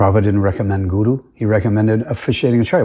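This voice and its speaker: A very fast man's voice, fairly low in pitch, dark and mellow in tone, somewhat breathy, on a very clean recording with a silent background. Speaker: religious commentator. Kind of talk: monologue argument video. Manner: halting.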